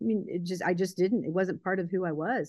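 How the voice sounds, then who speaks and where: In a plain, everyday voice with an American accent, a woman speaks at medium pitch with ordinary pitch variation. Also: quiet background. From Baltimore, Maryland. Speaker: entrepreneur and motivational speaker. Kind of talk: casual chat.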